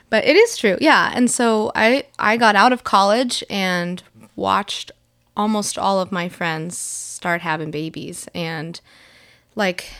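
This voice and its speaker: A woman speaks at a fairly slow pace in an ordinary speaking voice, with ordinary pitch variation, on a very clean recording with a silent background. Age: 20s. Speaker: mother of two, former children's ministry worker. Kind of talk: casual chat.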